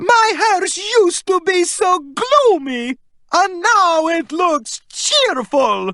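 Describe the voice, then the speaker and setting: Someone uses a shrill, put-on character voice at a very slow pace. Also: woman, extremely high pitch for a woman. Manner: shrieking.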